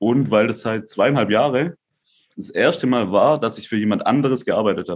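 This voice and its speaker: At a moderate pace, a man speaks in an unremarkable speaking voice with ordinary pitch variation and big swings in loudness. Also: medium pitch for a man. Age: 20s. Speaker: crypto entrepreneur. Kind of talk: casual chat.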